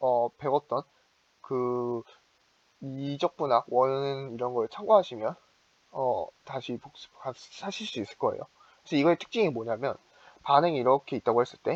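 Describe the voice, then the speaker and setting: A man with a fairly high pitch and ordinary pitch variation, recorded with a dry, close sound and no echo. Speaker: student chemistry club tutor. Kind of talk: lecture. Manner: fast; halting, many fillers.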